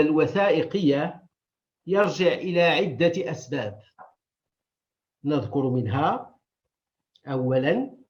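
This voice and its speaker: At a very slow pace with long, frequent pauses, a man speaks with vocal fry and very wide pitch swings. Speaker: historian and archive director. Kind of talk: conference lecture. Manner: formal.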